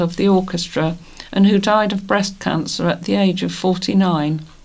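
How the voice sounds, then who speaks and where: This woman has a normal speaking voice at a medium pitch. She speaks at a moderate pace with fairly even intonation. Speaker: volunteer news reader. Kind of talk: reading aloud.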